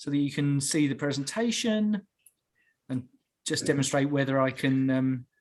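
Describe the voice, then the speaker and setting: This is a man speaking with an English accent. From England. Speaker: referee development officer. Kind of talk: online presentation. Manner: hesitant, many fillers.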